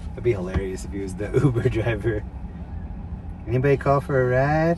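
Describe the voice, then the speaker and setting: A man at medium pitch with lively intonation and a fairly quick pace, over noticeable background noise. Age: 50s. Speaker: live streamer. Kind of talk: casual live-stream commentary while driving. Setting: in a car. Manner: animated.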